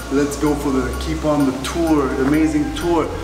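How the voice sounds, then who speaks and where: A man at a fairly slow pace, with audible room echo and clear music in the background. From Quebec, Canada. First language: French. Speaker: travel vlogger. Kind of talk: casual travel vlog talk to camera. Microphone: phone near.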